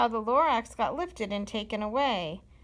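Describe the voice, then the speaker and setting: A woman uses a put-on character voice. It sits at a fairly high pitch. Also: moderate pace. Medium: read story. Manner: sharpish, bossy.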